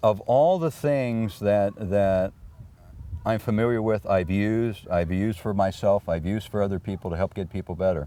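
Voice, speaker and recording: A man speaks at a moderate pace in a dark, mellow tone, his pitch fairly low with ordinary variation. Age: 80s+. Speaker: wellness coach. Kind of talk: interview.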